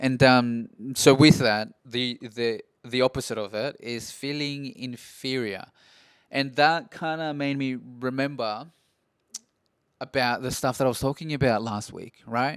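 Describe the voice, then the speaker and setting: Speaking fairly slowly at a medium pitch, a man with an Australian accent shows fairly even intonation and big swings in loudness in a very clean recording with a silent background. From Peru, moved to Australia at 7 or 8. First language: Spanish. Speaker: podcaster. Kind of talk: casual monologue podcast. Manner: halting, many fillers and restarts.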